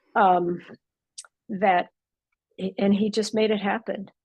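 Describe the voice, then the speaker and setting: Vocal fry runs through a woman's medium-pitched voice, her intonation fairly even. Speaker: audio club organizer introducing speaker. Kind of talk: introductory remarks. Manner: halting, many fillers.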